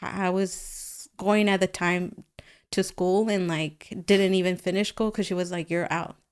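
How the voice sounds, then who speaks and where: A woman with a Spanish accent, fairly slow and monotone with flat intonation, in a very clean recording over a silent background. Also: medium pitch for a woman. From Guatemala. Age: 30s. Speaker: painter. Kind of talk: casual interview.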